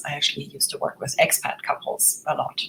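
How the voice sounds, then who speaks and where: A woman rattles along at a very fast pace, her voice somewhat breathy. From Germany. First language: German. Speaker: relationship coach. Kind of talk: webinar presentation. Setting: online webinar with screen share.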